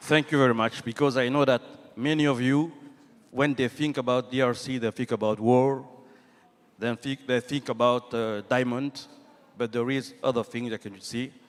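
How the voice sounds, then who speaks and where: Here a man with a French accent speaks at a medium pitch. He keeps a moderate pace and fairly even intonation. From DR Congo. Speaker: government minister. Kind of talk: panel discussion. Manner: halting.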